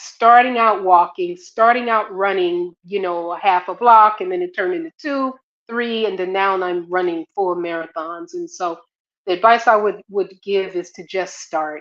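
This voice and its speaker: A woman with a normal speaking voice talks at a moderate pace and medium pitch, with ordinary pitch variation. Her loudness swings widely. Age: 60s. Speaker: marathon runner. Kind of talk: casual chat. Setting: live stream.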